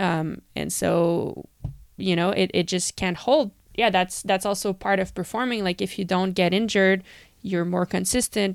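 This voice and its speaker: With vocal fry, a woman talks at a moderate pace in a medium-pitched voice with ordinary pitch variation. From Canada. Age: 30s. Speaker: professional cyclist. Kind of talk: casual interview. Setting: remote call.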